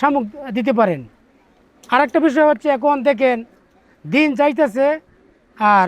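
This man's voice sits extremely high in pitch, with ordinary pitch variation and very even loudness. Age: 50s. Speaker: duck farmer. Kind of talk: interview.

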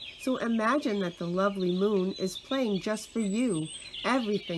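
The pitch varies in an ordinary way through this natural reading voice.

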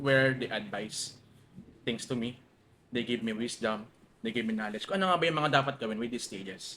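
A man with very wide swings in pitch. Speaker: logistics businessman. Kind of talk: casual chat. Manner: fast, sometimes stammering.

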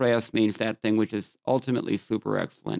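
The background is quiet. A man talks with a fairly low pitch. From US West Coast, Los Angeles. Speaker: scripture teacher. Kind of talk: lecture. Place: home room. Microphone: studio mic.

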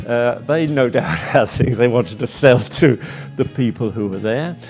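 A man speaks with an English accent, at medium pitch and moderate pace. His intonation is lively, with music in the background. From England. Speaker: marine painter. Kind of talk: interview answer. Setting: painting studio.

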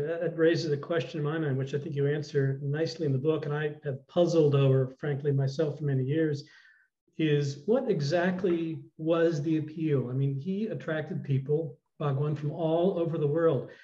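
A man's fairly quick, somewhat breathy speech, fairly high in pitch, with a dark, mellow tone and fairly even intonation. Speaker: retired TV news reporter. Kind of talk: interview. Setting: video call. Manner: halting. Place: home room. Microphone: video call.

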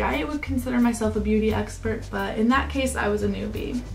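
A woman talks fairly quickly. There is music behind her. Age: 20s. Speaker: beauty YouTuber. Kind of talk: casual talk to camera.

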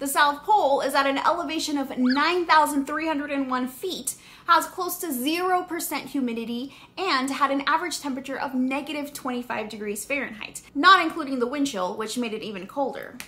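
A woman speaks in a raised, projected voice at a moderate pace. She hardly pauses, and her pitch varies in an ordinary way. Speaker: science educator. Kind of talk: educational vlog explanation. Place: home room.

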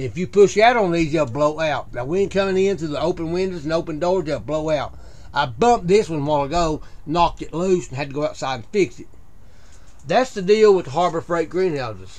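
A man talks at a fairly quick pace with lively intonation. His voice is fairly high-pitched for a man, with a slightly mellow tone.

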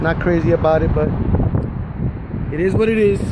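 A man's voice with ordinary pitch variation, dry with no echo, over loud background noise. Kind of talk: casual vlog chat. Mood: uneasy about the height. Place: street. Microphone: phone near.

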